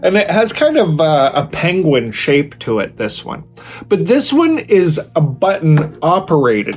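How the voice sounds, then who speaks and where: With music in the background, a man with a North American accent speaks fairly slowly in an enthusiastic tone, his fairly high pitch swinging very widely. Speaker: product reviewer, video creator. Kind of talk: product review tutorial. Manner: casual, enthusiastic.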